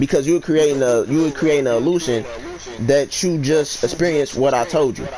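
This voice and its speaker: At a fairly quick pace, a man talks in a fairly high voice over noticeable background noise. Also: ordinary pitch variation. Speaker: livestreamer and beat maker. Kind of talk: casual chat. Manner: halting.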